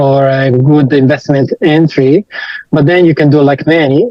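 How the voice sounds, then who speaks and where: This man's fairly high voice keeps a fairly even intonation. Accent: Italian. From Italy. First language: Italian. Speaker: IT professional and online course student. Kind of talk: interview testimony. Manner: hesitant, many fillers.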